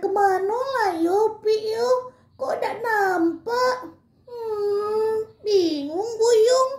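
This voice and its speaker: A put-on character voice at a very slow pace. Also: woman, extremely high pitch for a woman. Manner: puzzled, confused.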